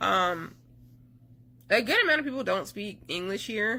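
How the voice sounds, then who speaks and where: A woman is speaking. She has a North Carolina accent. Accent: Southern US (North Carolina). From US South, North Carolina. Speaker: army spouse vlogger. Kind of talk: casual vlog talk.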